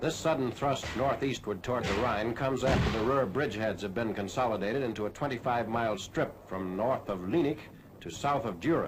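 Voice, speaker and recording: The man talks fairly quickly at a medium pitch. His pitch varies in an ordinary way, and noticeable background noise is present. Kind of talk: newsreel narration.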